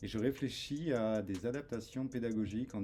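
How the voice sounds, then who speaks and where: A man talks at a fairly slow pace. Behind him, music is playing. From France. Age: 40s. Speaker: cybersecurity expert. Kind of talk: interview. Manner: hesitant, many fillers.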